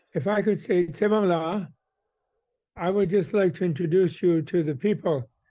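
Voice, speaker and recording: His voice has a dark, mellow tone and a high pitch. The man's pitch varies in an ordinary way. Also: moderate pace, very even loudness. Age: 80s+. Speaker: Buddhist scholar. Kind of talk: panel remarks. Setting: video call. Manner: halting.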